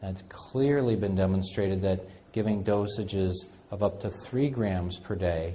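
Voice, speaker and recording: A man speaks with a very deep, low pitch and a somewhat breathy sound. Audible room echo surrounds his voice. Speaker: functional medicine clinician lecturer. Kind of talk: lecture.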